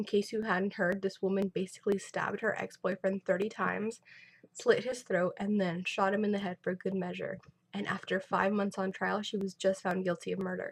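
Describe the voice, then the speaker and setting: Her medium-pitched voice carries vocal fry as the woman speaks at a fairly quick pace in a monotone, flat intonation. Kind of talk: casual vlog talk to camera.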